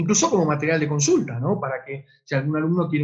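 Lively intonation marks this man's fairly high-pitched voice. The background is quiet. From Argentina. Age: 50s. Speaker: online education lecturer. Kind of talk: webinar lecture with Q&A. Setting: online webinar broadcast. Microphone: webcam.

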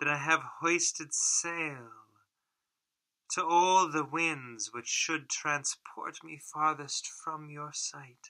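A bright, sharp tone at a very slow pace, with big swings in loudness and fairly even intonation. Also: man, fairly high pitch for a man. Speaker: reciter of Shakespeare sonnets. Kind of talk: poetry reading.

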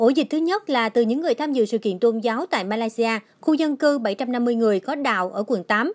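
A woman speaks fairly quickly with hardly any pauses, at a high pitch with lively intonation, in a very clean recording with a silent background and a dry, close sound with no echo. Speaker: news reporter. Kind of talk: news reading.

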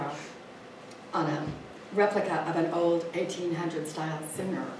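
The woman's pitch is fairly low. Noticeable background noise and audible room echo fill the recording. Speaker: library event organizer. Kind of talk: event introduction. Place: hall. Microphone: camera far.

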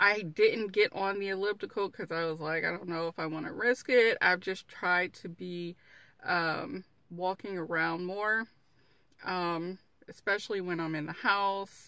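Against a quiet background, a woman speaks at a fairly slow pace in a dry sound with no echo. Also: fairly even intonation. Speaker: vlogger. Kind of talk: casual vlog chat. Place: car. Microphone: phone near.

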